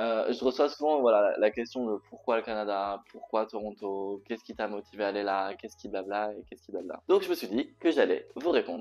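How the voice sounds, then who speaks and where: A man talks with hardly any pauses, his loudness swinging widely. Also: fairly quick pace. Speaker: vlogger. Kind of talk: casual vlog talk. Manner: hesitant with many fillers.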